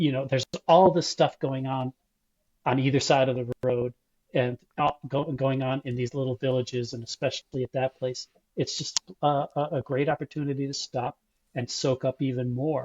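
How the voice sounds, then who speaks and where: With an American accent, a man speaks at a medium pitch and a moderate pace. The delivery is somewhat breathy, with monotone, flat intonation. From Buffalo, New York. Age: 60s. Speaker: long-distance cyclist and club ride organizer. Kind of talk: interview.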